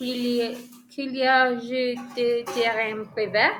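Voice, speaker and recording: A woman with a Colombian accent speaks at a high pitch with ordinary pitch variation. Music plays in the background. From Colombia, Villavicencio. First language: Spanish (speaking French). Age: 30s. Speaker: French language learner. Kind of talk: oral exam practice. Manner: halting, many hesitations.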